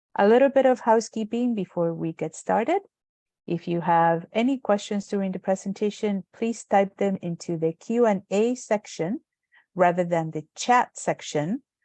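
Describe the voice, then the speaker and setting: A woman's medium-pitched voice, dark and mellow, with a Spanish accent, ordinary pitch variation, and a moderate pace, in a dry, close sound with no echo against a quiet background. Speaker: webinar moderator. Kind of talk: webinar hosting. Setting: video call.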